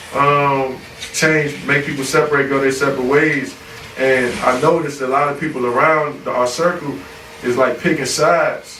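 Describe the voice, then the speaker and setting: A man talks in a fairly high, monotone voice with flat intonation. Audible room echo and noticeable background noise surround him. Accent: American. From US Mid-Atlantic, Prince George's County, Maryland (DC area). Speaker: rapper. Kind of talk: casual interview.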